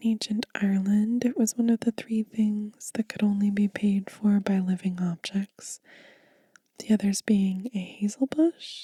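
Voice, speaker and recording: Soft-spoken and somewhat breathy, a woman talks at a fairly slow pace with a medium pitch and fairly even intonation. Her tone is gentle, dark and mellow. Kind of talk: ASMR book reading for sleep. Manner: soft-spoken, gentle.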